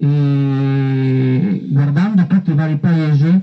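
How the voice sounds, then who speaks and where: Somewhat breathy and dark, mellow in tone, a man of fairly high pitch speaks with fairly even intonation against a quiet background. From Veneto, Stienta; Veneto. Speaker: council candidate, salesman. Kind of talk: campaign speech. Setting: outdoors in a park. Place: garden.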